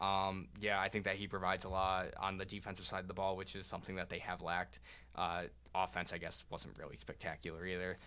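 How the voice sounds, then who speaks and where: A man with a very deep, low pitch and vocal fry talks at a very fast pace in a bright, sharp tone. His intonation is fairly even, and the recording is very clean with a silent background. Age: young. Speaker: student sports podcast host. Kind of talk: casual chat.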